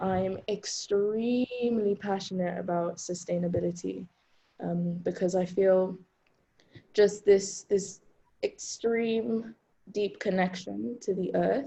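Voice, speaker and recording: A woman with a somewhat breathy voice at medium pitch talks at a very slow pace with fairly even intonation. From Zambia, lived in several countries. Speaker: writer and series host. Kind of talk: roundtable discussion. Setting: video call.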